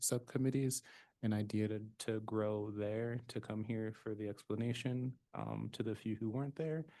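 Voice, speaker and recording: The voice is soft-spoken, with a dark, mellow tone. Its intonation stays fairly even. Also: man. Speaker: commission member. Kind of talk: public meeting discussion. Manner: halting.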